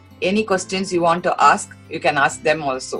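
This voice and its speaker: Music plays behind a woman with a fairly low voice. She speaks at a moderate pace with lively intonation. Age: old. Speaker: yoga and shloka teacher. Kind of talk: interview answer.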